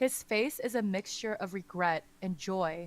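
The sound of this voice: An unforced reading voice moves through the text with ordinary pitch variation.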